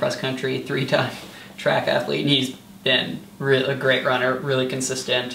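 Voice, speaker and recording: A man with an American accent speaks in a monotone, flat intonation. The recording has audible room echo and light background noise. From US Midwest (rural eastern Iowa). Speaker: college track athlete. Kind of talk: casual interview. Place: home room. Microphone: camera far.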